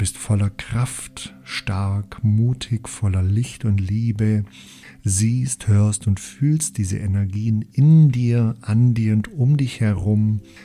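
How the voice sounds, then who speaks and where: Music plays behind a man whose pitch is fairly low, with ordinary variation. His tone is soothing and calm, and his pace is very slow. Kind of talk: guided meditation. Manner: slow, soothing, calm and gentle with long pauses; soft, hypnotic, repetitive phrasing.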